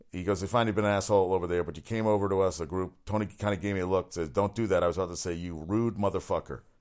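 Speaking at a very fast pace, a man with a very deep, low pitch keeps his intonation fairly even on a very clean recording with a silent background. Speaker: sports talk radio host. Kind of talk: solo sports talk show monologue. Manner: fast talker; casual, opinionated.

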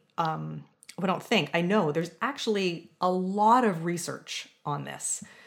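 The speaker has an ordinary speaking voice and moves at a moderate pace. Pitch variation is ordinary. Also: woman. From Southern Ontario, Canada. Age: 40s. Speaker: music professor. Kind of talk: interview.

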